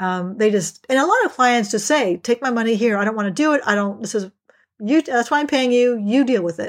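In a normal speaking voice, a woman talks at a fairly quick pace on a very clean recording with a silent background. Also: fairly high pitch for a woman, ordinary pitch variation. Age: 60s. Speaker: executive and life coach. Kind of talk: interview.

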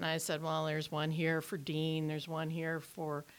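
Her voice has a very deep, low pitch for a woman, and she speaks at a moderate pace. The recording is very clean with a silent background. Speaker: former station intern and office staffer. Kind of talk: casual chat. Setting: studio.

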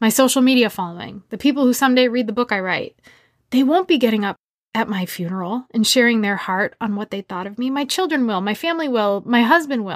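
A woman with a fairly high pitch talks very fast, her intonation lively. The recording is very clean with a silent background, and the sound is dry and close with no echo. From US Northeast, Massachusetts. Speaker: podcast host and leadership coach. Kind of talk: personal monologue.

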